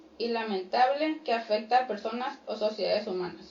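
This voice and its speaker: With noticeable background noise behind her, a woman speaks at a moderate pace in a fairly high pitch with ordinary pitch variation. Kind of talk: radio talk show.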